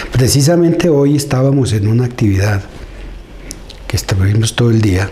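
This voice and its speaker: Against noticeable background noise, a man at medium pitch speaks at a moderate pace with lively intonation and very even loudness. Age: 60s. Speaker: community leader. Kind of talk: interview. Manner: halting.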